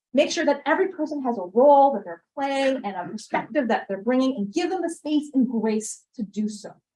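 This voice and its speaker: A woman with an American accent speaks in a high pitch with a dark, mellow tone. She talks at a fairly quick pace with hardly any pauses. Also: lively intonation. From US Midwest. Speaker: workshop speaker on diversity and equity. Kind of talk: presentation.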